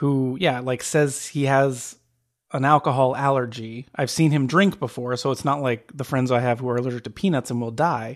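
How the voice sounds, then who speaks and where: A man with an American accent has a normal speaking voice at a medium pitch. He talks at a moderate pace with fairly even intonation on a very clean recording with a silent background. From Phoenix, Arizona. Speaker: podcast co-host. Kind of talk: casual chat.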